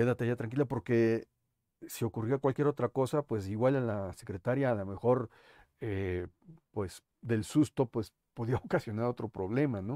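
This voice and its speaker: A man speaks at a moderate pace in a dark, mellow tone with ordinary pitch variation. The sound is dry with no echo, and the background is quiet. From Mexico City. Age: 50s. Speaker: blogger and video host; podcast host. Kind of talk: monologue, historical memoir to camera. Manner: hesitant with fillers. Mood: reflective, earnest. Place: home room.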